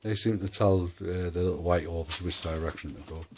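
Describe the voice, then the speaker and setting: A man's very deep, low voice at a moderate pace. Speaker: paranormal video maker. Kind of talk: casual monologue to camera. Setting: at home. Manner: halting.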